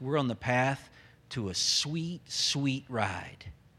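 This man has a Southern US accent. The recording is very clean, with a silent background. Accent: Southern American. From US South, Memphis, Tennessee. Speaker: pastor. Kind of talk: sermon. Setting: church.

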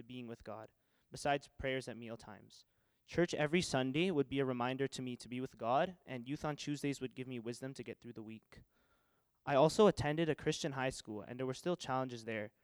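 A man with an ordinary speaking voice, medium in pitch, at a fairly quick pace, with ordinary pitch variation and big swings in loudness. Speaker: church member giving baptism testimony. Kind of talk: testimony. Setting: church.

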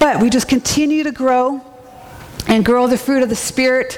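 A woman's fairly even intonation and moderate pace come through noticeable background noise. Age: 40s. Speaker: preacher. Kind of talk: sermon.

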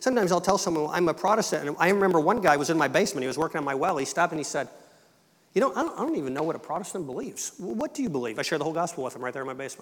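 A man with an American accent, high-pitched and fast-talking at a very quick clip, lively in intonation, over noticeable background noise. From Michigan, English Canadian family from Ontario. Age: 50s. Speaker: missionary. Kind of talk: sermon. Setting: church.

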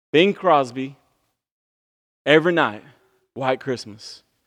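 This man has a Southern US accent and a fairly high pitch. His tone is animated, with ordinary pitch variation. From US South. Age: 30s. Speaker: pastor. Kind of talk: sermon. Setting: church.

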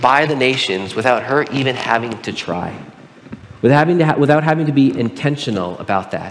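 A fairly high-pitched man with an American accent and lively intonation, amid audible room echo and noticeable background noise. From Southern California (Pomona). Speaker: pastor. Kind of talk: sermon.

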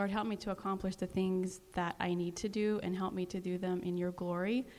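With a normal speaking voice, a woman talks at a fairly quick pace, her medium pitch carrying fairly even intonation. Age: 40s. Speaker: mother, panelist. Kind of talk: panel discussion.

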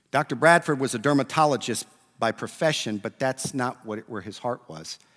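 A man speaks at a medium pitch and a moderate pace, with lively intonation and vocal fry. The sound is dry and close, with no echo. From Puerto Rican and Italian family. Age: 40s. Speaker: preacher. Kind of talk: sermon.

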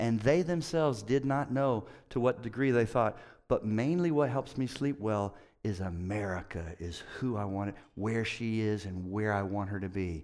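Recorded very cleanly against a silent background, a man with fairly low pitch speaks at a moderate pace in an animated tone with lively intonation. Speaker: pastor. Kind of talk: sermon. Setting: church.

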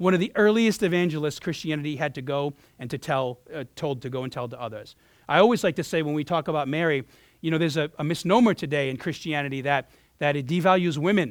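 In an animated tone, a man talks at a very fast pace with a fairly high pitch and ordinary pitch variation. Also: very clean recording, silent background. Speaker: pastor. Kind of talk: sermon. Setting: church.

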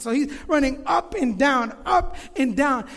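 Someone with an American accent talks with ordinary pitch variation, and audible room echo surrounds the voice. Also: man. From Florida. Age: 30s. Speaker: pastor. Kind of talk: sermon. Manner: halting.

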